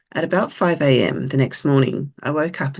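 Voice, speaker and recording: In an Australian accent, a woman speaks at a moderate pace with a very deep, low pitch, vocal fry and fairly even intonation. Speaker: lived experience advisor. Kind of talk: presentation. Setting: webinar.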